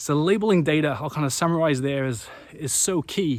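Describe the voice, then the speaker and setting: A man speaks with a Welsh accent. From Wales. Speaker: renewable energy company CEO. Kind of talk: business talk to camera. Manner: stuttering, repetitive.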